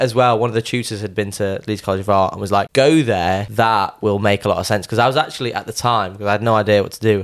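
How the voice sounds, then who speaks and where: On a very clean recording with a silent background, a man with a fairly low pitch speaks at a very fast pace with fairly even intonation and hardly any pauses. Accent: Yorkshire. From Sheffield, Yorkshire. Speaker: artist.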